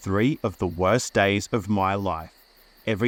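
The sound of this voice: The speaker uses an unforced reading voice. The text is read aloud.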